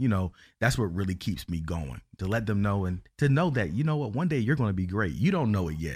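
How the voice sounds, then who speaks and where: Here a man uses a normal speaking voice, fairly low in pitch, with lively intonation. The recording is very clean, with a silent background. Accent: American. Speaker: educator and university advocate. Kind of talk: interview.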